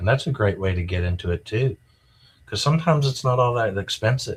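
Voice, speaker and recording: In a very clean recording with a silent background, a somewhat breathy man with an American accent talks with ordinary pitch variation. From rural US. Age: 60s. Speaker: art collector. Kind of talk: interview. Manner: casual, halting with fillers.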